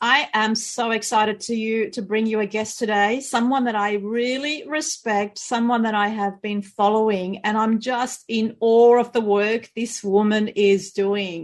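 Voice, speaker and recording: Woman with an Australian accent, fairly high pitch, a fairly slow pace and hardly any pauses. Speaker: podcast host and couples therapist. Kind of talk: interview podcast.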